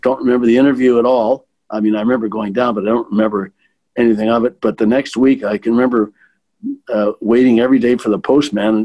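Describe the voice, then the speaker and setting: At a fairly quick pace, a man with a medium-pitched voice speaks in fairly even intonation. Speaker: retired bank executive. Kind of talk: interview reminiscence. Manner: halting with repetitions.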